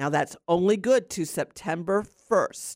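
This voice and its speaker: A woman talks in an animated, enthusiastic tone. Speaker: gardening radio host. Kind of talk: radio talk show, gardening advice. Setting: studio.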